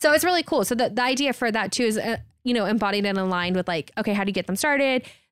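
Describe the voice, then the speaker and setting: At a very fast pace, a speaker with an American accent talks with lively intonation in a very clean recording with a silent background. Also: woman, fairly high pitch for a woman. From Texas, Houston. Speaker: community venue founder. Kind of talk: interview. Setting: studio.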